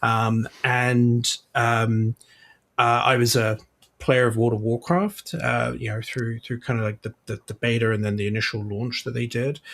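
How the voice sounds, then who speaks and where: With a British accent, a man at medium pitch speaks at a fairly slow pace in a monotone, flat intonation. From UK. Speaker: games publishing executive. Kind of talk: podcast interview.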